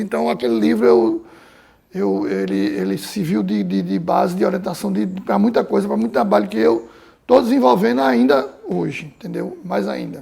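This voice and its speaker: At a moderate pace, a man speaks with a medium pitch that moves in very wide swings. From Recife, Pernambuco, Brazil. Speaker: painter. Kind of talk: interview. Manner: hesitant, repeats words.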